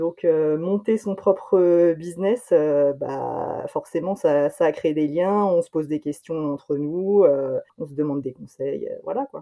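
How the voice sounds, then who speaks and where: A woman speaks at a very slow pace with hardly any pauses and big swings in loudness. Her pitch is fairly low, with ordinary variation. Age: 30s. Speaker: friend of guest, former teacher. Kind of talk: interview. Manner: hesitant.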